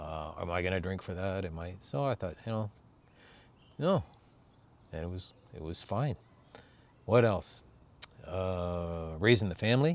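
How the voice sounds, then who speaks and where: In a relaxed tone, a man speaks at a very deep, low pitch and a fairly slow pace. He leaves long, frequent pauses, and his pitch varies in an ordinary way. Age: 60s. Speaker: vlogger. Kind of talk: casual monologue.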